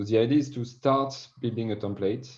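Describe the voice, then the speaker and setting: A man with a French accent and a dark, mellow tone talks at a fairly quick pace with ordinary pitch variation. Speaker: sales director. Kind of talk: podcast interview.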